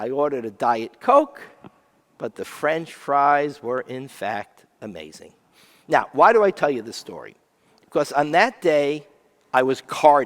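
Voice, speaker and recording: With an unremarkable speaking voice, a man talks fairly slowly at a fairly high pitch, using lively intonation and big swings in loudness. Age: 60s. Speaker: rabbi. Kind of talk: sermon.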